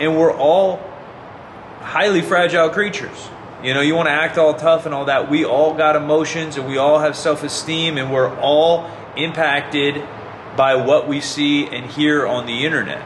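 The speech moves at a moderate pace with fairly even intonation. Noticeable background noise can be heard. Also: man, fairly high pitch for a man. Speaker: fitness YouTuber. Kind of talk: angry rant, passionate monologue calling out fraud in fitness. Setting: online video, solo to camera. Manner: earnest, indignant, impassioned; direct, talks straight to viewers.

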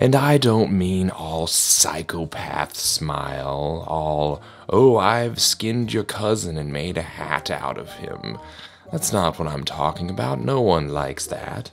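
A man's put-on character voice, very deep and rumbling, at a fairly slow pace, with music in the background. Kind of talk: animated comedy monologue. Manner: grumbling, complaining.

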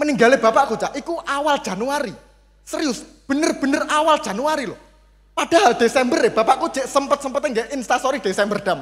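An extremely high-pitched male voice, animated and playful in tone, with ordinary pitch variation. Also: fairly quick pace. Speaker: stand-up comedian (competitor). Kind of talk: stand-up comedy. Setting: stage with audience. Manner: animated, playful. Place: stage. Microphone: handheld.

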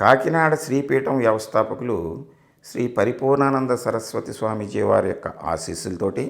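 A man's medium-pitched voice with vocal fry and ordinary pitch variation. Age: 70s. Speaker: palmistry YouTuber. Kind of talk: memorial tribute monologue. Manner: halting.

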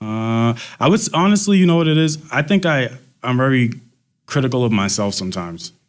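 A man with a medium pitch speaks at a fairly quick pace.

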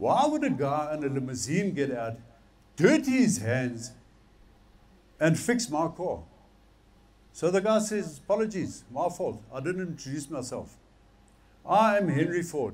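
Speaking with an Afrikaans accent, a man moves at a fairly slow pace, with very wide pitch swings and long, frequent pauses. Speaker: preacher. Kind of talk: sermon to a men's gathering. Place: stage. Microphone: headset.

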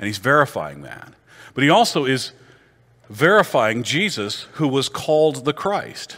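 A man with an American accent speaks slowly in a fairly high pitch with a bright, sharp tone and vocal fry, his pitch swinging very widely and his loudness rising and falling sharply. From Iowa, US Midwest. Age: old. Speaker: pastor. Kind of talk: teaching class.

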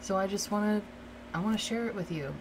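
Noticeable background noise sits behind a soft-spoken woman with an American accent. Her tone is gentle and her intonation fairly even. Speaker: ASMR creator doing a roleplay. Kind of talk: asmr roleplay, soothing talk to a listener. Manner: soft, reassuring, gentle. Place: home room.

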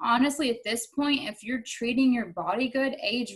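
A woman speaks with a Southern US accent against a quiet background. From North Carolina, Madison-Mayodan area; North Carolina. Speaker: Muay Thai fighter; interviewee. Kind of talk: casual interview. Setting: video call. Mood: relaxed, candid. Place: home room. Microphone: video call.

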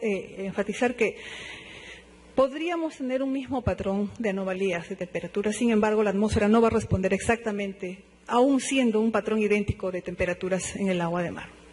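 This man has a high pitch. He talks at a fairly quick pace.

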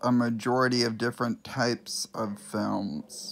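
The pace is very slow. It is a man who speaks. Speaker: amateur movie reviewer. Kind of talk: casual talk to camera. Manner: stuttering. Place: home room. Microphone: phone near.

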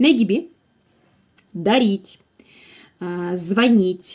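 Somewhat breathy and fairly high, a woman's voice moves very slowly with lively intonation. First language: Russian (speaking Turkish). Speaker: language teacher. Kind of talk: tutorial. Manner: halting.

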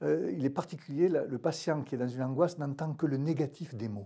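A man speaks with a southern French accent in a dark, mellow tone that is somewhat breathy. His pitch variation is ordinary, over a quiet background. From southern France. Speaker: pain medicine doctor. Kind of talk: expert panel discussion. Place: studio. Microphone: lapel.

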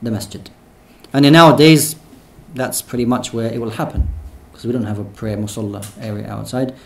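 A man at a fairly quick pace, with vocal fry. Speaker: imam teaching a seminar. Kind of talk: lecture. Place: hall. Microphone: studio mic.

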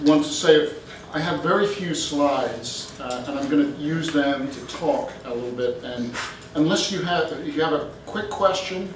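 A man's voice at a moderate pace, with ordinary pitch variation, audible room echo and light background noise. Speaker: guest lecturer. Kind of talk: lecture. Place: hall. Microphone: camera far.

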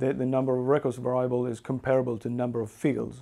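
A man talks with a Swedish accent. His tone is dark and mellow. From Sweden. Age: 40s. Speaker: software engineer; presenter. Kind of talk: technical talk; lecture. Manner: halting. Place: home room.

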